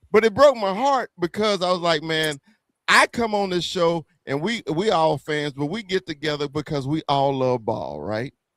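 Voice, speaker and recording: In a Southern US accent, a man talks at a moderate pace with a fairly high pitch and lively intonation. The sound is dry and close, with no echo. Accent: Southern twang. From US South. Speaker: YouTube sports podcaster, Cowboys fan. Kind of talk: casual panel chat on livestream. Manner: stammering, repeating words.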